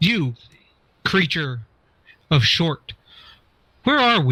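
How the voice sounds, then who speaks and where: A man puts on a character voice, pitched fairly high and delivered at a very slow pace. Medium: actual play. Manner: stiff, formal phrasing.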